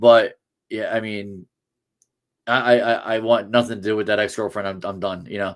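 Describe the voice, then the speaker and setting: In a very clean recording with a silent background, a man with an American accent speaks at a fairly low pitch and a moderate pace. His intonation is monotone and flat, his loudness swings widely, and he takes long, frequent pauses. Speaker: sports podcast host. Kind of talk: casual chat. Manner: halting, many restarts.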